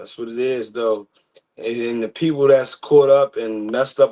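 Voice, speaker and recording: Moderate pace in an American accent. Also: man. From US, Baltimore, Maryland. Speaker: podcast host. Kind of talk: casual discussion.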